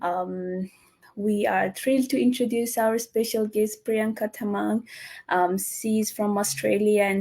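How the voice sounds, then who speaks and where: A woman speaks at a fairly slow pace with a dark, mellow tone. Her fairly high pitch shows ordinary variation. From Nepal. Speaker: online business host and nurse. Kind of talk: live interview. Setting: live stream. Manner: halting, many fillers.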